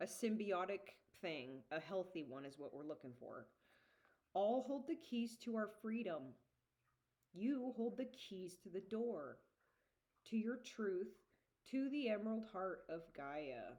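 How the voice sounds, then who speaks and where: Loud and fairly slow, a woman speaks with very wide pitch swings and long, frequent pauses. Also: medium pitch for a woman. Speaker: geologist and spiritual channeler. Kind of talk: casual monologue vlog. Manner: halting. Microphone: usually too quiet in recordings.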